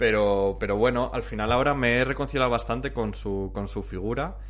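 A man with a Castilian accent at a moderate pace, with audible room echo. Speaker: podcast host. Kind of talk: casual chat.

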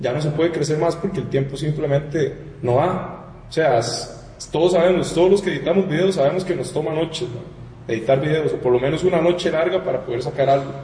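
With a Costa Rican accent, a man speaks at a fairly quick pace and a fairly high pitch, amid noticeable background noise and audible room echo. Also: ordinary pitch variation. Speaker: audiovisual producer, studio co-founder. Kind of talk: casual chat. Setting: studio.

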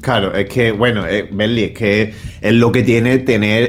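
A man at a medium pitch with an Andalusian accent, amid noticeable background noise. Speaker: podcast co-host. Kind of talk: casual chat. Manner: animated.

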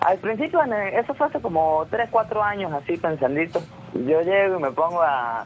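High-pitched male voice with a Venezuelan Andean accent, over noticeable background noise. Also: lively intonation, moderate pace. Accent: Venezuelan Andean accent from Mérida. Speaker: entrepreneur. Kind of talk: radio interview.

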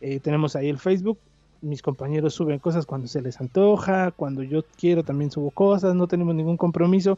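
With music in the background, a voice in a Mexico City accent moves at a fairly quick pace with ordinary pitch variation, the sound dry and close with no echo. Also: man, fairly high pitch for a man. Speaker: podcaster. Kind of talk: casual chat.

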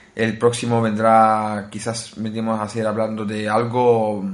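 In a room with audible echo, a man speaks at a fairly slow pace in a fairly low, monotone voice with flat intonation. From Italy (Naples). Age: 20s. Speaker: tech podcast host. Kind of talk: casual chat.

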